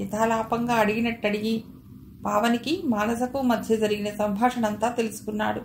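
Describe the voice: Text is read aloud plainly. Nothing more is added to the reading.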